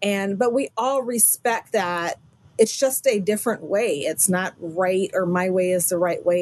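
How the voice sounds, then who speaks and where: A woman with an ordinary speaking voice talks at a moderate pace. Her pitch is medium with ordinary variation. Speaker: quilter and teacher. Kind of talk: casual interview.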